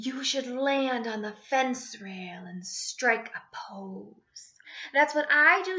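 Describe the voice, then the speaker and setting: In a put-on character voice, a woman speaks very slowly at a high pitch. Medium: read story.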